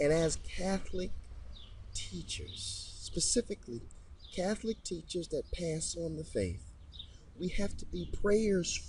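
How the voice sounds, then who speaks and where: Delivered in an American accent at a very slow pace, the speech has long, frequent pauses and audible room echo. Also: man. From Detroit, Michigan. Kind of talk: religious podcast monologue. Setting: recording on location near a chapel.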